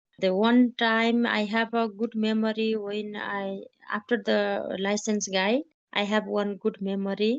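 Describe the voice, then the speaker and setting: At a fairly slow pace, a woman with a fairly high pitch speaks in a monotone, flat intonation. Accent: Nepali. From Nepal, Mugu district. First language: Nepali. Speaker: trekking guide. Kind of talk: interview testimony. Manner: halting.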